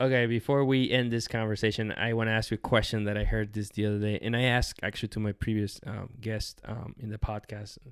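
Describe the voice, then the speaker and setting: A man with a fairly low pitch, speaking at a very fast pace in a monotone, flat intonation, with a dry sound with no echo and a quiet background. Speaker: podcast host. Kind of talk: casual interview. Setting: in person at company headquarters. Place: home room. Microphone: studio mic.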